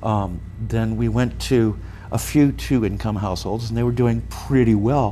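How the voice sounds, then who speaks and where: A man with an American accent speaks at a fairly slow pace. Noticeable background noise and audible room echo fill the recording. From US West Coast, San Francisco Bay Area. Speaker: real estate research executive. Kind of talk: radio interview. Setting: studio.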